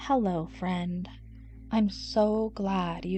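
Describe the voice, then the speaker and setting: With music in the background, a woman speaks at a very slow pace with ordinary pitch variation. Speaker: narrator. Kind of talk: sleep story. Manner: soft-spoken, slow.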